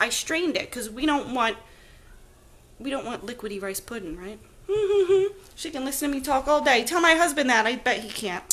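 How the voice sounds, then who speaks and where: Animated and raised in a projected voice, a high-pitched woman moves at a fairly quick pace with very wide pitch swings, big swings in loudness and long, frequent pauses. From New Jersey. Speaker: home cooking live streamer. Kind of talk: live cooking stream chat. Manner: chatty, animated.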